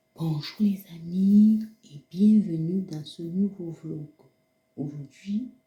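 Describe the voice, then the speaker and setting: A woman's very slow speech is accompanied by background music. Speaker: vlogger. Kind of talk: casual vlog. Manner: hesitant; soft-spoken.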